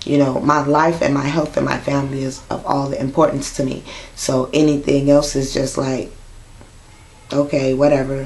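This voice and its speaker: Amid noticeable background noise and audible room echo, a woman speaks at a moderate pace. Her pitch is very deep and low, and her intonation is monotone and flat. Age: 30s. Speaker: vlogger with sickle cell disease. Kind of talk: personal vlog monologue. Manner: casual with frequent fillers.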